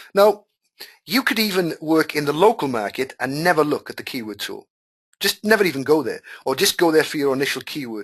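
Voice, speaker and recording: With a Welsh accent, a man speaks at a moderate pace and lively intonation. The background is quiet. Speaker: online marketing teacher. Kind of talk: live webinar tutorial. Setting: webinar call. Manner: casual, animated.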